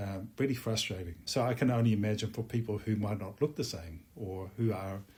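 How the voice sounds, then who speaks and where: Somewhat breathy and fairly low in pitch, a man talks at a fairly quick pace with hardly any pauses and ordinary pitch variation. The recording is very clean, with a silent background. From Netherlands. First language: Dutch. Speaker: musician. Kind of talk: interview.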